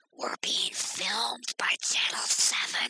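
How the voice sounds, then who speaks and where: A put-on character voice whispers at a very slow pace. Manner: hissed stage whisper.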